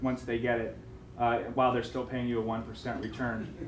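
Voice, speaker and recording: A man's fairly quick, flat, monotone delivery in audible room echo. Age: 30s. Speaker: fund manager. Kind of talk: business seminar presentation.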